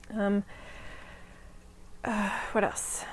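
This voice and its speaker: A woman speaks softly. Her pitch is fairly high. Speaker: podcast host. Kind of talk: casual chat. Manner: soft-spoken. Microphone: new microphone.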